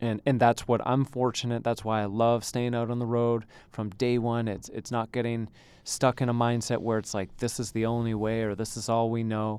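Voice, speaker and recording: On a very clean recording with a silent background, a man at a medium pitch talks at a moderate pace in a monotone, flat intonation. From Canada, Ontario (Thornhill). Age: 30s. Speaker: tennis coach. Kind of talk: interview.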